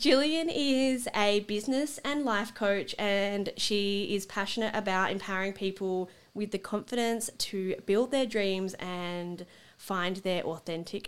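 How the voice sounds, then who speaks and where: A woman with an ordinary speaking voice talks at a fairly slow pace, her medium pitch showing ordinary variation, on a very clean recording with a silent background. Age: 30s. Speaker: podcast host. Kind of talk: casual chat; scripted introduction.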